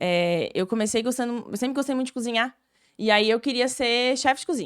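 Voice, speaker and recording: Fairly quick delivery with ordinary pitch variation, on a very clean recording with a silent background. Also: woman. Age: 20s. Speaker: nutritionist and marathon runner. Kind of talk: casual chat. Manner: talkative.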